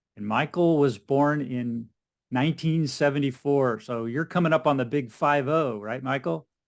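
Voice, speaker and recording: In a very clean recording with a silent background, a man with an unremarkable speaking voice talks at a moderate pace, his fairly high pitch showing ordinary variation. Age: 60s. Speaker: podcast host. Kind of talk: interview.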